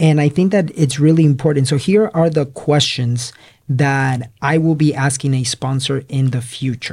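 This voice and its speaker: A man's fairly high, somewhat breathy voice moves at a moderate pace with ordinary pitch variation. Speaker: podcast host, real estate investor. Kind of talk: casual chat.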